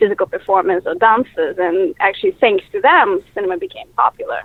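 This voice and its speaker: This woman has a Russian accent. She talks at a fairly quick pace. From Russia (Moscow). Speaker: filmmaker. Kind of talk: interview. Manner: halting, many fillers.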